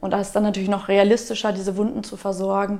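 Speaking very fast, a woman with a medium pitch uses a dark, mellow tone and vocal fry. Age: 20s. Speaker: Red Cross volunteer leader. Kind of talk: interview.

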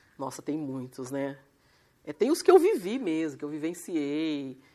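Very clean recording, silent background. A woman speaks at a moderate pace with a very deep, low pitch. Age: 50s. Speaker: lawyer and evangelist. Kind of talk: testimony. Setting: live stream.

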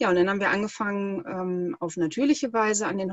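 Moving at a fairly quick pace with ordinary pitch variation, this is a normal speaking voice. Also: woman. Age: 30s. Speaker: breathing coach. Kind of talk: interview.

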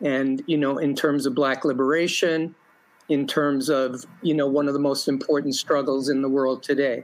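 With an American accent, a man at a fairly high pitch keeps a monotone, flat intonation, very even loudness and a moderate pace. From New York. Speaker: activist and teacher. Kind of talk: interview.

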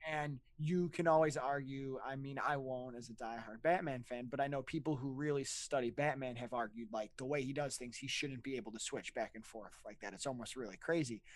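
A plain, everyday voice from a man of medium pitch, fairly quick in pace with hardly any pauses and ordinary pitch variation. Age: 20s. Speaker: podcast host. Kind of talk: casual chat.

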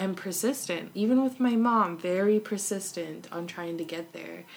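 A woman uses a normal speaking voice at a medium pitch with ordinary pitch variation. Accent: American. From Arkansas and Los Angeles. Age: 20s. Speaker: visual artist. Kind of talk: casual chat.

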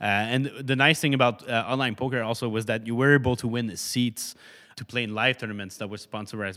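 Heard in a very clean recording with a silent background, the speaker talks in a Quebec accent at a fairly quick pace, with a bright, sharp tone and fairly even intonation. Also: man. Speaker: startup founder. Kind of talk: interview. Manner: halting.

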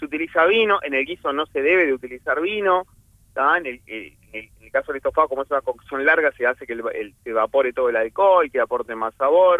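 Lively intonation and a very fast pace mark this man's fairly high-pitched voice. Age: 40s. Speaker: chef. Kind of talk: casual radio interview, cooking tips.

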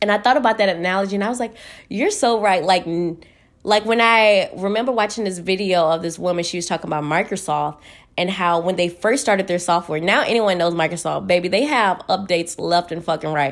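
In a very clean recording with a silent background, a woman with an American accent speaks at a medium pitch with ordinary pitch variation. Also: fairly quick pace. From Texas, Houston. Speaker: podcast host. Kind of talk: casual monologue. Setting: at home in her room. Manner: animated.

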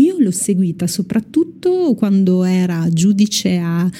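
The voice is somewhat breathy, with a dark, mellow tone, ordinary pitch variation and a fairly slow pace. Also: woman. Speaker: radio host. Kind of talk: casual chat. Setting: studio.

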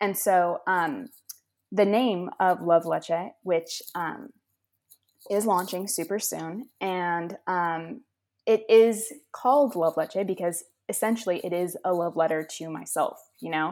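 A woman at a very slow pace in a very clean recording with a silent background. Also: medium pitch for a woman, ordinary pitch variation. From Los Angeles, California. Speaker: clothing brand founder, college student. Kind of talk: casual interview.

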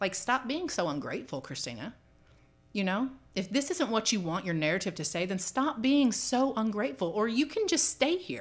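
A woman speaks in an American accent at a moderate pace with a fairly high pitch. Her voice shows vocal fry and very wide pitch swings. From California and Georgia. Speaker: public housing resident in recovery. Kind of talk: interview testimony.

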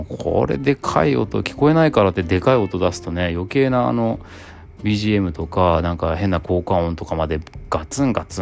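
Over music in the background, a man speaks at a moderate pace. His very deep, low voice has lively intonation. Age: 40s. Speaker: podcaster, father and office worker studying at university. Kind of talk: casual solo podcast monologue.

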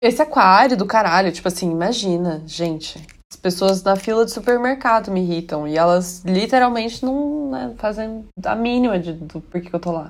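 A normal speaking voice with lively intonation, big swings in loudness, a moderate pace and hardly any pauses. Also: woman, medium pitch for a woman. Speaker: podcast co-host. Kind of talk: casual chat.

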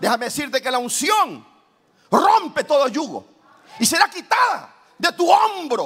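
Pauses come long and often as a man speaks at a fairly slow pace. His extremely high pitch swings very widely in an animated tone. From Ecuador, Guayaquil. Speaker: pastor. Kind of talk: sermon.

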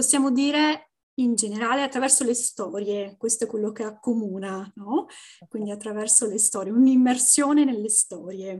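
A woman talks in a normal speaking voice at a moderate pace. Her pitch is fairly high, with ordinary pitch variation. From Venice, Italy. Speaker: Italian teacher, language content creator. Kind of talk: podcast interview.

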